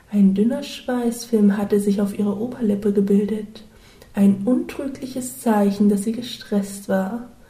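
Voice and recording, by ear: Fairly even intonation in a passage of reading aloud in a natural voice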